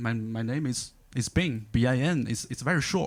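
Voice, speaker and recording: A man with a Chinese accent speaks at a medium pitch. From China. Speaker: stand-up comedian. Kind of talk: stand-up. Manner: halting, many fillers and repeats.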